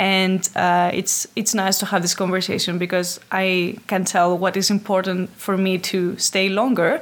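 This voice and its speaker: On a very clean recording with a silent background, a woman with a Greek accent speaks at a fairly slow pace and medium pitch, monotone and flat, with very even loudness and hardly any pauses. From Greece, Athens. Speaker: HR specialist. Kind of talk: interview.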